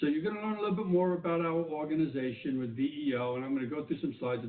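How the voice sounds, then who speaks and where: His pitch rises and falls in an ordinary way. The man talks with a New York accent. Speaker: government official. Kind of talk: keynote speech.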